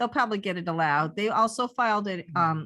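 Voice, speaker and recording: Against a quiet background, a woman speaks at a fairly quick pace in a bright, sharp tone with lively intonation. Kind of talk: radio show co-host talk.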